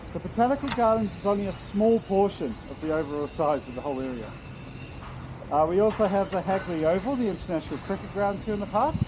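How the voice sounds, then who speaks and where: Over noticeable background noise, a man talks very fast in a high pitch with lively intonation. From New Zealand then Wales. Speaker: punt tour guide. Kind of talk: guided tour commentary. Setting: outdoors on a river punt. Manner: loud.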